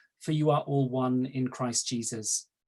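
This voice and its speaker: The voice has a dark, mellow tone and a Welsh accent. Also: man. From South Wales. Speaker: archdeacon. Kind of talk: panel talk. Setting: video call.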